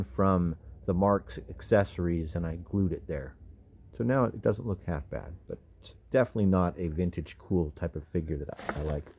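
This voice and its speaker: At a moderate pace, a man with a very deep, low pitch talks with big swings in loudness. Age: 50s. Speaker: toy collector YouTuber. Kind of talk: casual show-and-tell video. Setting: home video, camera on hands. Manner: casual, halting with repetitions.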